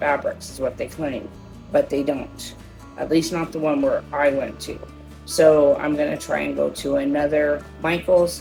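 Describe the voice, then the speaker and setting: A woman at a fairly slow pace with music in the background. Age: 50s. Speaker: shopping haul vlogger. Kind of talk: casual haul video talk. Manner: casual, many fillers.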